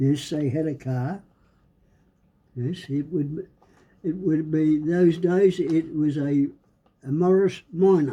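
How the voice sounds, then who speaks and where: A man with a strong Australian accent, dark and mellow in tone, at a very slow pace, with fairly even intonation and long, frequent pauses. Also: fairly high pitch for a man. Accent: broad Australian. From Australia, rural Victoria. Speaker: great-grandfather interviewee. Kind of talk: casual interview.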